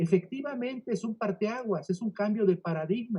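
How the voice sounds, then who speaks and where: Keeping a moderate pace, a man speaks with ordinary pitch variation. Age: 60s. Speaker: legal scholar, book presenter. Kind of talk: book presentation speech. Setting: online virtual event.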